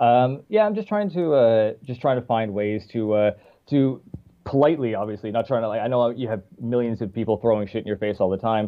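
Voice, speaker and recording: A man in a Newfoundland accent, medium-pitched, at a fairly quick pace with ordinary pitch variation. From Newfoundland, Canada. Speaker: musician. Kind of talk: casual interview. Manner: chatty.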